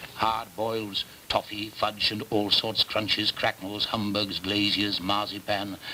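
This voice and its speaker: Noticeable background noise sits behind a man's fairly low, warm voice. He talks at a fairly slow pace. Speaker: actor. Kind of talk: literary prose reading. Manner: warm, nostalgic, masterful delivery.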